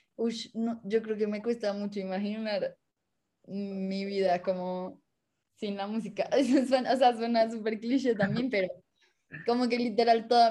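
Delivered at a fairly slow pace with long, frequent pauses, the voice has a dark, mellow tone and a monotone, flat intonation. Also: woman. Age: 20s. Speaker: music student and singer. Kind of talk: casual chat.

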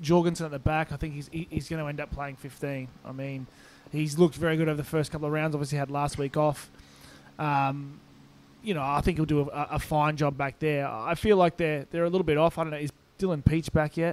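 With an Australian accent, a man speaks very fast at a fairly high pitch in a monotone, flat intonation. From Brisbane, Australia. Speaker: rugby podcast co-host. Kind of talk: casual chat.

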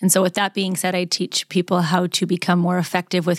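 In an American accent, a woman with a fairly low pitch speaks at a fairly quick pace in a monotone, flat intonation on a very clean recording with a silent background. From US West, Las Vegas, Nevada. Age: 30s. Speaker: communications professor and mindset coach. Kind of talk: interview conversation.

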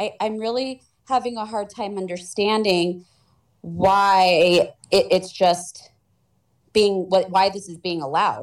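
Using an ordinary speaking voice, a woman with an American accent speaks at a fairly slow pace, medium in pitch with fairly even intonation. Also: big swings in loudness. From Los Angeles, California.

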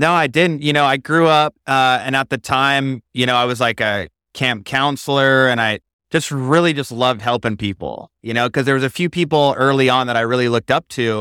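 A man with an American accent, medium pitch, a bright, sharp tone, ordinary pitch variation and a fairly quick pace, in a dry, close sound with no echo. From Idaho, US. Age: 30s. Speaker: entrepreneur and business coach. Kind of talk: interview, casual chat. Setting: studio.

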